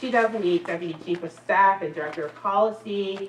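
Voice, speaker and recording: A woman with a Philadelphia accent speaks with ordinary pitch variation, audible room echo and light background noise. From Philadelphia, South Philly; Pennsylvania. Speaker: planning lecturer and event host; planning lecturer, event host. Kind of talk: event introduction. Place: classroom.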